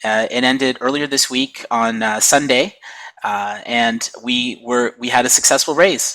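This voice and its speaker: The man talks fairly slowly against noticeable background noise. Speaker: blockchain project president. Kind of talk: casual chat. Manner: halting, many fillers.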